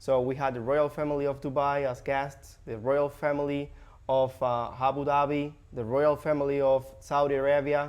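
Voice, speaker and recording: With a Spanish accent, a man talks at a moderate pace in a fairly high pitch with monotone, flat intonation. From Cuba. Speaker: real estate agent, former hotel host. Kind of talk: podcast interview. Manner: halting, many fillers.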